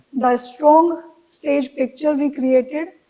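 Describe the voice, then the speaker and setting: This woman has a high pitch and a dark, mellow tone. Her intonation stays fairly even. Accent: Indian. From India. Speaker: fashion designer. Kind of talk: interview answer.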